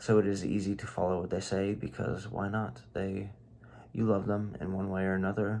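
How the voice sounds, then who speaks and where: Soft-spoken and dark, mellow in tone, a man talks at a moderate pace in a fairly low pitch with ordinary pitch variation. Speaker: video diarist. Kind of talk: casual vlog monologue. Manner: halting.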